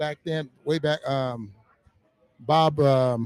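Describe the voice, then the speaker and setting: A man with a fairly high pitch and an American accent at a very slow pace, dry and close with no echo, with music in the background. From US Midwest, Omaha, Nebraska. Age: 70s. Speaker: retired basketball player. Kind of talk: casual chat.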